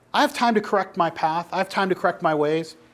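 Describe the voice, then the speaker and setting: The man's voice sits high in pitch. He talks at a moderate pace. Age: 30s. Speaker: pastor or church group teacher. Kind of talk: sermon-style teaching talk to a group.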